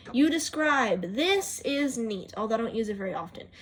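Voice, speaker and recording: Amid noticeable background noise, a woman with a high pitch speaks at a moderate pace with very wide pitch swings. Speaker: YouTuber showing phone apps. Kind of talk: casual video walkthrough. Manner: odd, unnatural tone.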